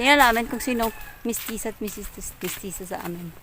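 Noticeable background noise accompanies a woman's voice. She speaks at a fairly high pitch with ordinary pitch variation. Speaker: vlogger. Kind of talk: casual vlog narration. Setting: outdoors.

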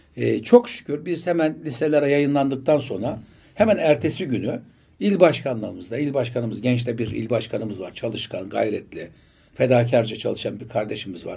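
A man's dark, mellow voice with vocal fry, big swings in loudness, lively intonation and a moderate pace. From Turkey, Bursa; Turkey. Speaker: politician; election candidate. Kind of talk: interview. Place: studio. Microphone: studio mic.

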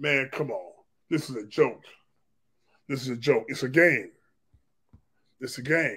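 A man's animated, bright and sharp delivery at a fairly slow pace, with ordinary pitch variation, big swings in loudness, and long, frequent pauses. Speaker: pastor and commentator; pastor, commentator. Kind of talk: sermon-style commentary. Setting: online video broadcast with screen sharing. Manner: animated, emphatic. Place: home room. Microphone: webcam.

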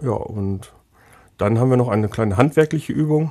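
At a moderate pace and with ordinary pitch variation, a man speaks in a dark, mellow tone on a very clean recording with a silent background. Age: 20s. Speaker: technical apprenticeship trainer. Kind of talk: casual interview.

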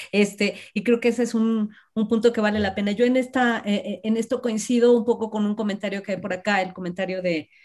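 Fairly quick, somewhat breathy speech with fairly even intonation over a quiet background. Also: woman. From Mexico. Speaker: university professor, seminar organizer; university professor. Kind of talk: casual chat; interview questions and discussion. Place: home room. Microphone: video call.

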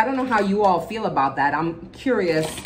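A woman speaks with lively intonation. There is light background noise. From Jamaica. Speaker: beauty vlogger. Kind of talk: casual makeup tutorial chat. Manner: animated. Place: home room. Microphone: phone near.

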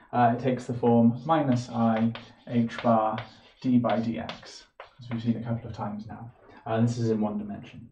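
A man speaks amid light background noise. Room echo can be heard. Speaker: physics lecturer. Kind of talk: lecture. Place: home room. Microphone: camera far.

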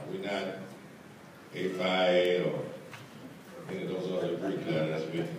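In a room with strong echo, a man speaks at a fairly slow pace with a low pitch and little pitch movement.

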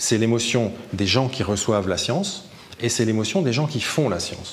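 Moderate pace and ordinary pitch variation over light background noise. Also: man. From France. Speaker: science communicator; science communication trainer. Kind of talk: interview; interview answer. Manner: hesitant with repetitions. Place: hall.

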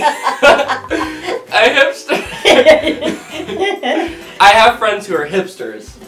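Over clear music in the background, a man speaks in a raised, projected voice at a very slow pace. His pitch swings very widely, and the room echo is audible. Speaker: vlogger interviewing his grandmother. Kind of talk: casual interview questions. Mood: playful, laughing. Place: home room.

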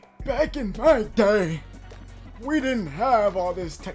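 Over faint background music, a put-on character voice speaks at a fairly high pitch and a fairly slow pace. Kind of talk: gaming commentary. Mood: joking, playful.

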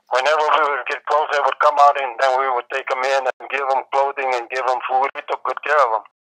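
A man at a medium pitch talks at a fairly quick pace with hardly any pauses. His tone is bright and sharp, his intonation monotone and flat. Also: dry, close sound with no echo. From New Mexico. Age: 80s+. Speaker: war veteran. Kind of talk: interview answer.

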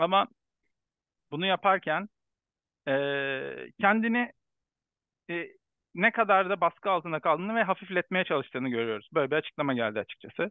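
A man with a high voice talks at a fairly quick pace with lively intonation, broken by long, frequent pauses. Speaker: sports journalist interviewer. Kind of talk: casual chat.

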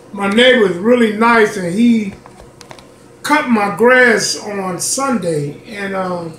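A man's high voice at a very slow pace with ordinary pitch variation, audible room echo and light background noise. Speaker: home cooking channel host. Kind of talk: casual cooking tutorial. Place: home room. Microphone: phone near.

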